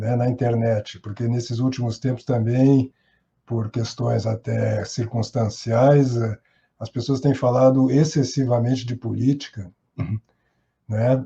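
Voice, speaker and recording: A man's medium-pitched, somewhat breathy voice with a dark, mellow tone and monotone, flat intonation. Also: fairly slow pace. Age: 60s. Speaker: actor and theatre teacher. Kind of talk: podcast interview.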